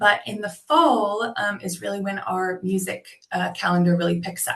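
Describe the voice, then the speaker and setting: A woman with an American accent uses a normal speaking voice at medium pitch and a moderate pace. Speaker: tourism representative. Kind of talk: webinar presentation. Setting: video call. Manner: many filler words (um, uh).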